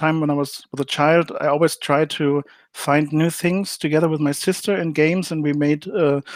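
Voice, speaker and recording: Against a silent background in a very clean recording, a man with a fairly high pitch speaks at a moderate pace with fairly even intonation. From Germany. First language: German. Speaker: game designer. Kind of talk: interview. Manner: hesitant, many fillers.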